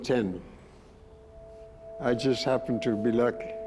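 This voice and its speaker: Over music in the background, a man's medium-pitched voice runs with fairly even intonation. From Argentina. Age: 80s+. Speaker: war veteran. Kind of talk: interview answer.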